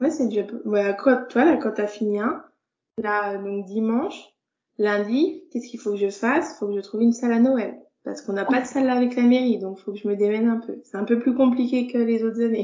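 Talking at a fairly quick pace, a woman has a fairly high pitch and ordinary pitch variation. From France, Burgundy (Dijon). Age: 30s. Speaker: visually impaired card maker. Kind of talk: interview conversation. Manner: hesitant, many fillers.

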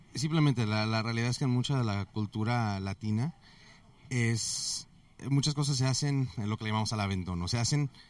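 A man with an ordinary speaking voice and a medium pitch. He talks at a moderate pace with ordinary pitch variation. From US, Mexican family from Guadalajara. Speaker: IT consultant. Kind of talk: interview. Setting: conference venue.

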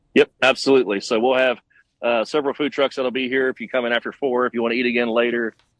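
In an East Texas accent, a man speaks at a very fast pace with monotone, flat intonation. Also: medium pitch for a man. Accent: East Texas American. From Texas, Tyler. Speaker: festival organizer. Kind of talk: radio interview. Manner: halting.

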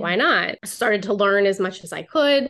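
The clip has an ordinary speaking voice. Its pitch variation is ordinary. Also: woman. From Pittsburgh area, Beaver County, Pennsylvania. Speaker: branding photographer. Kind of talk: podcast interview.

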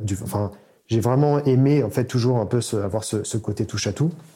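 On a very clean recording with a silent background, a man with a dark, mellow, somewhat breathy tone speaks at medium pitch and a moderate pace, with ordinary pitch variation. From France, Paris region (Seine-et-Marne). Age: 30s. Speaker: software engineer and startup founder. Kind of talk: interview.

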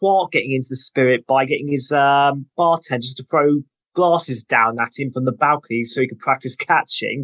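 A man with a British accent, fairly high-pitched, talking at a fairly quick pace in a dry, close recording with no echo. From UK. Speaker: podcast guest. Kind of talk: casual chat.

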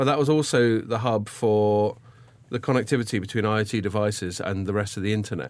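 Here is a man with a normal speaking voice and fairly low pitch. He keeps a moderate pace with ordinary pitch variation. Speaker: podcast co-host. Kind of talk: casual chat.

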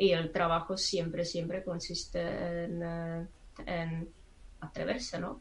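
The delivery is very slow, with fairly even intonation and a Czech accent. Audible room echo surrounds the speech. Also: woman, fairly low pitch for a woman. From Czech Republic. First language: Czech (speaking Spanish). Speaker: psychologist and astrologer. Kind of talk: casual chat. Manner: halting, with hesitations.

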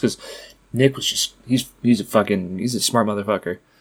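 Over a very clean recording with a silent background, a man talks at a very fast pace. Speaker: podcast co-host. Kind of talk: casual chat. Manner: casual, profane.

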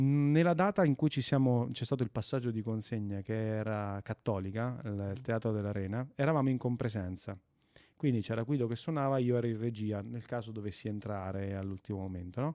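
A man's medium-pitched voice with a dark, mellow tone, ordinary pitch variation and a fairly quick pace over a quiet background. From Italy, province of Fermo (Marche). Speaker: bass player and teacher. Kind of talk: casual interview. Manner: animated.

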